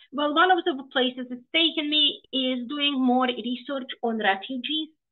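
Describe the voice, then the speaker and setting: A woman speaks with a Russian accent. Her pitch is high and varies an ordinary amount. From Ukraine (Odesa), Soviet era. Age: 40s. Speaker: professor. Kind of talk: lecture. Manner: animated.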